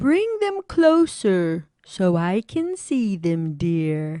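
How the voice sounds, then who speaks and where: In a put-on character voice of medium pitch, a woman speaks at a very slow pace. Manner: sweet, feigned.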